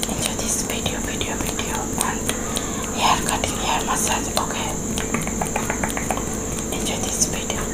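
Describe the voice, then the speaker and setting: A woman at a moderate pace, with long, frequent pauses. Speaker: ASMR video host. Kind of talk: ASMR intro talk to camera. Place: home room.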